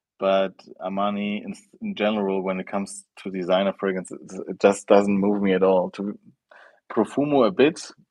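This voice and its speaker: A man with a German accent speaks at a moderate pace. His intonation stays fairly even, while his loudness swings widely. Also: fairly low pitch for a man. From Germany. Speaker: fragrance youtuber. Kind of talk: live stream chat. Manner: halting.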